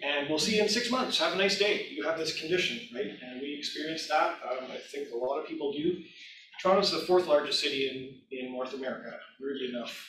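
A man with a Canadian accent talks at a very fast pace in a fairly high pitch, with lively intonation and noticeable background noise. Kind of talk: conference presentation. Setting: stage with audience.

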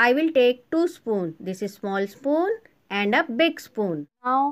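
Against a quiet background, a woman with a high pitch speaks at a very slow pace. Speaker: teacher. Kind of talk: tutorial. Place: kitchen.

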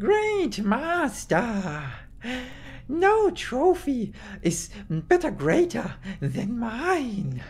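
A put-on character voice, fairly high and hissing, swings very widely in pitch. It moves at a very slow pace with long, frequent pauses. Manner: hissing, servile, eager.

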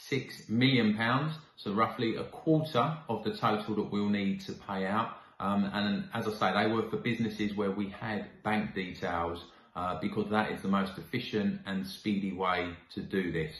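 In a room with audible echo, a man with a fairly low pitch talks at a moderate pace. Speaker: local council official. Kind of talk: public update address. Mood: calm, reassuring, earnest. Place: home room. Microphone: phone near.

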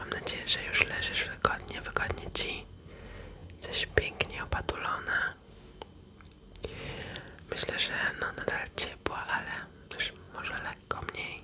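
Whispering at a fairly slow pace, a woman breaks her speech with long, frequent pauses. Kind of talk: soft-spoken role-play chat. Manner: soft, hushed caring ASMR voice. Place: home room. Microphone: studio mic.

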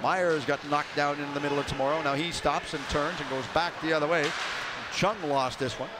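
Against noticeable background noise, a man speaks in an animated, excited tone at a fairly high pitch. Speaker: hockey play-by-play announcer. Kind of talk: live commentary. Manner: fast, excited play-by-play calling; animated, with punchy goal calls.

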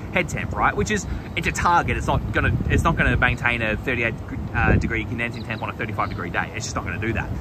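A man talking at a very fast pace, dry sound with no echo, over loud background noise. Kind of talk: casual technical explanation. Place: open country. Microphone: phone near.

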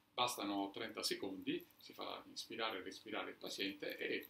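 A man talks with noticeable background noise behind him. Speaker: doctor; lecturer. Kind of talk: lecture with live demonstration; lecture. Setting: bookshop talk with audience. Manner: halting. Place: shop. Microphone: camera far.

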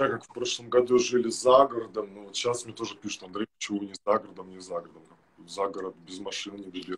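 Very fast and fairly even in intonation, a man's voice sits at a fairly low pitch. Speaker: live stream guest; guest. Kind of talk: casual chat. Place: home room.

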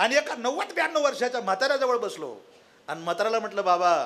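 Over noticeable background noise, a man uses a raised, projected voice at an extremely high pitch, animated in tone with very wide pitch swings. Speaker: kirtan preacher. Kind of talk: sermon.

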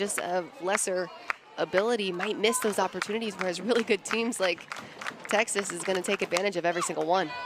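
Over noticeable background noise, a woman speaks very fast at a medium pitch. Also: ordinary pitch variation. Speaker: color commentator, softball analyst. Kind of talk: live sports commentary. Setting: broadcast booth at softball stadium.

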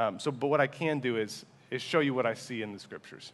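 At a fairly quick pace, a man speaks at medium pitch. His tone is animated and his intonation lively. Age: 20s. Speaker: pastor. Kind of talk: sermon. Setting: church. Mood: earnest, humble. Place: church.

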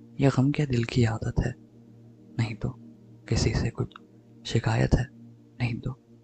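A man speaks at medium pitch. His intonation stays monotone and flat. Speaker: voice-over artist. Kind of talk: poetry reading.

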